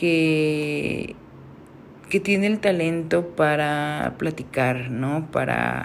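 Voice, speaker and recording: A woman speaks at a very slow pace in a very deep, low voice with ordinary pitch variation. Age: 30s. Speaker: photographer. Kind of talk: solo podcast monologue. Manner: hesitant, many fillers.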